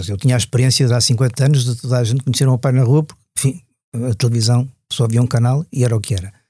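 Recorded very cleanly against a silent background, a man talks very fast at a medium pitch, somewhat breathy with a dark, mellow tone. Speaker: motoring journalist. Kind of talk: casual interview.

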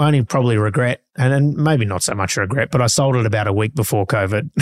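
A man with an Australian accent talks at a very fast pace, at medium pitch with lively intonation. The recording is very clean and silent behind him, with a dry, close sound and no echo. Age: 40s. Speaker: real estate auctioneer. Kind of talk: casual interview.

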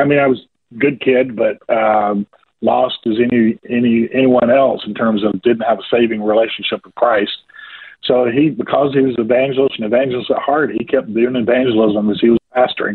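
A man with a slight Southern US accent, fairly quick pace, fairly even intonation and big swings in loudness. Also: medium pitch for a man. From US South, rural Georgia. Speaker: ministry leader. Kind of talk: radio interview. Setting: phone call.

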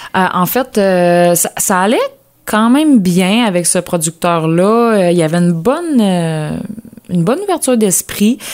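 A woman speaks in a plain, everyday voice at medium pitch, with lively intonation, very even loudness and a fairly slow pace. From Quebec, Lanaudière. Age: 20s. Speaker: agricultural mechanic. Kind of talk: interview.

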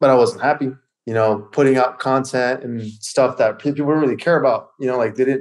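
A man speaks in an ordinary speaking voice at a medium pitch. His intonation stays fairly even. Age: 30s. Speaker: fitness coach. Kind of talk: casual chat.

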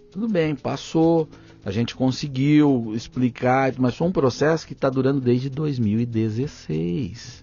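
Over music in the background, a man speaks at a very slow pace. His intonation is lively. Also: medium pitch for a man. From interior of São Paulo state, Brazil (Pontal do Paranapanema). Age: 30s. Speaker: journalist and federal congressman. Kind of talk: podcast interview. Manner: animated.

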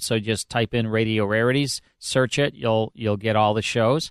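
In an ordinary speaking voice, a man talks at a moderate pace with fairly even intonation, in a dry, close sound with no echo against a quiet background. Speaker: radio host. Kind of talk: casual chat. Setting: studio.

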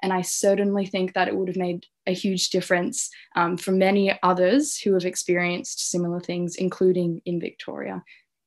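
At a fairly quick pace, a woman with an Australian accent speaks at medium pitch with fairly even intonation. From Australia, Canberra. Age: 20s. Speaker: youth mental health advocate. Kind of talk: interview testimony.

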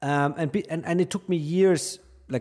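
A man's dark, mellow voice with a German accent at a moderate pace. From Austria. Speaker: finance journalist. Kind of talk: interview. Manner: halting.

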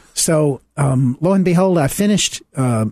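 A man's somewhat breathy voice with ordinary pitch variation over a quiet background. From US South. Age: 70s. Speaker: minister. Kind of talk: radio interview. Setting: studio.

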